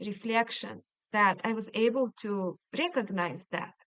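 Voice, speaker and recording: Speaking at a fairly slow pace, a woman with a Russian accent uses a fairly high pitch and ordinary pitch variation. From Siberia, Russia. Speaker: language coach. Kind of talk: interview.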